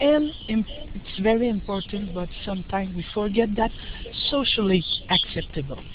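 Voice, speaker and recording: Through noticeable background noise and audible room echo, a woman with a Quebec accent speaks with lively intonation. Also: medium pitch for a woman, moderate pace. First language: French. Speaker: professor, researcher. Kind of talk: lecture. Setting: online webinar. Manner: halting.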